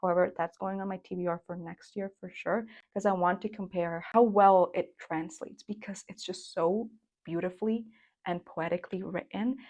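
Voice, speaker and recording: A woman with a Spanish accent speaks at a medium pitch, with big swings in loudness. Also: moderate pace. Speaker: book reviewer. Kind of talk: casual book review vlog. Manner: animated.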